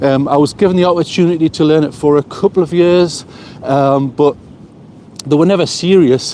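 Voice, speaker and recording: Noticeable background noise accompanies speech with ordinary pitch variation. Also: man. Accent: Geordie. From northern England, Newcastle. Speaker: vlogger. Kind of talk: casual live stream chat. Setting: outdoors, walking by the coast. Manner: fast.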